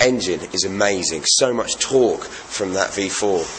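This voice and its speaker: A man with an English accent against noticeable background noise. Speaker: radio DJ and motorcycle reviewer. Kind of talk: casual vlog review. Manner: fast.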